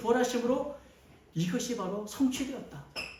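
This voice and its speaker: A man speaks at an extremely high pitch with ordinary pitch variation. Room echo is audible and background noise is noticeable. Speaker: pastor. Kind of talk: sermon.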